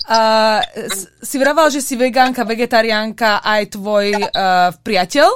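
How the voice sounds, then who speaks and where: A woman's fairly high voice with ordinary pitch variation, a fairly slow pace and hardly any pauses. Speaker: podcast host. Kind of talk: casual interview.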